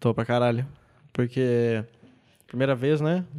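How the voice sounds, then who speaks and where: On a very clean recording with a silent background, a man with a southern Brazilian accent speaks at a moderate pace, his medium-pitched voice dark and mellow in tone. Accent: gaúcho Brazilian Portuguese. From southern Brazil, Rio Grande do Sul. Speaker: stand-up comedian. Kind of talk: casual interview chat.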